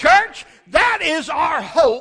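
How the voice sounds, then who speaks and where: A man's voice over noticeable background noise. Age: 60s. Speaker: pastor. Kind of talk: sermon. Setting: church. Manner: animated.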